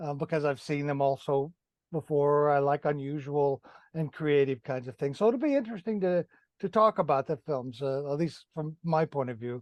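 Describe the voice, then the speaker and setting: An unremarkable speaking voice at a moderate pace. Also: man, fairly high pitch for a man, ordinary pitch variation. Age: 60s. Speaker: podcast host. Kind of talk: casual chat.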